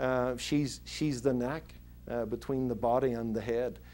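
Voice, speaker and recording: Here a man talks in a Northern Irish accent at a moderate pace. His tone is dark and mellow. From Northern Ireland (Belfast). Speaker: pastor. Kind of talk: interview answer. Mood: earnest, explanatory. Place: office.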